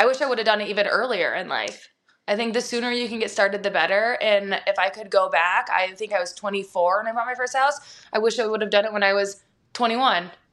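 An ordinary speaking voice from a woman with an American accent, fairly high in pitch, fairly even in intonation and fairly quick, on a very clean recording with a silent background. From Montana, US (Bozeman). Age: 30s. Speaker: realtor. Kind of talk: casual interview chat.

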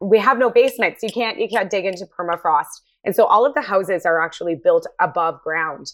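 With a Canadian accent and an unremarkable speaking voice, a woman talks at a fairly quick pace with lively intonation and hardly any pauses. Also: medium pitch for a woman. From Nunavut, Canada. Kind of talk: panel discussion.

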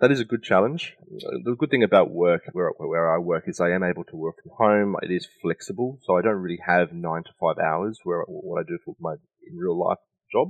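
Big swings in loudness mark this man's delivery. He speaks at a moderate pace with an Australian accent. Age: 30s. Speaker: business strategy consultant and NFT advisor. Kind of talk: interview.

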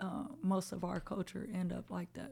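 With an American accent, a woman talks in an ordinary speaking voice at a medium pitch. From South Central Los Angeles. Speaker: rapper. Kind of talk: casual chat.

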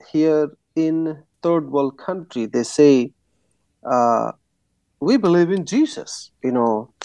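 In a dry, close recording with no echo, a man with a dark, mellow tone and a fairly high pitch speaks fairly slowly with lively intonation. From India. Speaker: pastor, church-planting movement leader. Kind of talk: interview. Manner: hesitant, many fillers.

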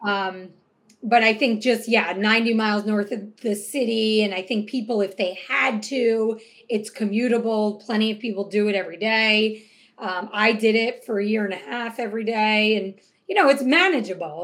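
This is a plain, everyday voice from a woman with a fairly high pitch. She keeps a moderate pace and fairly even intonation. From Hudson Valley, New York. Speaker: real estate agent and team leader. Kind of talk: casual interview chat.

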